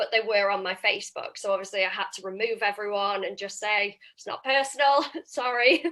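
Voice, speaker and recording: At a fairly quick pace, a woman speaks loudly in a bright, sharp tone. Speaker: property investor and sourcer. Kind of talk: interview. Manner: animated.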